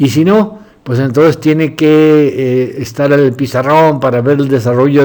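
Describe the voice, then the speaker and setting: Noticeable background noise accompanies a man whose fairly high voice keeps a fairly even intonation. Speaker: doctor and philosophy lecturer. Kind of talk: lecture. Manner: halting.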